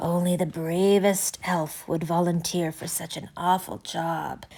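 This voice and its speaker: A put-on character voice speaks at a fairly slow pace. The intonation is monotone and flat. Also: woman, fairly low pitch for a woman. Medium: read story. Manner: fussy, fretful.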